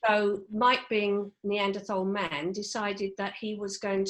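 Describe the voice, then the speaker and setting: In a southern English accent, a woman with a medium-pitched voice speaks at a fairly slow pace on a very clean recording with a silent background. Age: 60s. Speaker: HR manager. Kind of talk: podcast interview. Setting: home.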